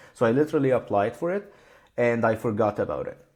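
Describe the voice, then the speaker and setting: With a non-native accent, a man talks at a fairly quick pace. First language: not English. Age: 20s. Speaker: insurance broker. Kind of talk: slide presentation talk. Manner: casual.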